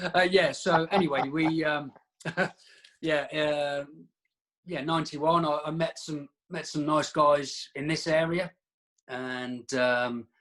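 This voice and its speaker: Speaking at a very slow pace with a Norfolk accent, a man leaves long, frequent pauses. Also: fairly high pitch for a man, fairly even intonation. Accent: Norfolk twang. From England, Daventry, Northamptonshire. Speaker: martial artist. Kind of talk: casual chat. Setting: call.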